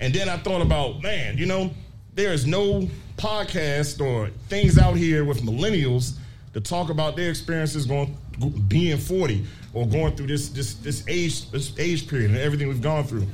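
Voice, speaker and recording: Speaking at a moderate pace with lively intonation, a man with a fairly high pitch is heard through audible room echo and noticeable background noise. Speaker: podcast host. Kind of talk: live podcast panel talk. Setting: brewery with live audience.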